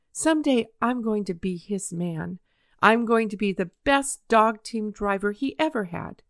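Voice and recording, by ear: A natural voice reading aloud against a quiet background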